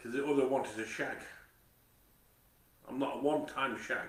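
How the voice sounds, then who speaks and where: A man of medium pitch talks at a fairly quick pace, with audible room echo around him. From Manchester, later Nottingham/Mansfield. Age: 40s. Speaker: vlogger. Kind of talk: casual monologue. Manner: halting, repetitive stammering.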